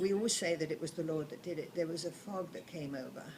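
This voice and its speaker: A woman talks at a fairly quick pace with a fairly low pitch and ordinary pitch variation. Noticeable background noise sits behind her. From southern England. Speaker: grandmother telling wartime memories. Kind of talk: oral history storytelling. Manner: halting.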